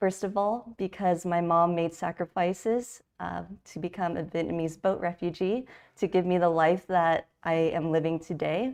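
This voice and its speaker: Heard over a quiet background, a plain, everyday voice with an American accent moves at a moderate pace with fairly even intonation. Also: woman, fairly low pitch for a woman. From California, US. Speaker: designer and conference speaker. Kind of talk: conference talk. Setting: virtual event.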